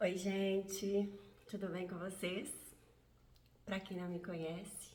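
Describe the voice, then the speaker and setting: A woman speaks at a very slow pace with long, frequent pauses, her medium-pitched voice flat and monotone against audible room echo. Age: 50s. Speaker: vlogger. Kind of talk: personal testimony vlog.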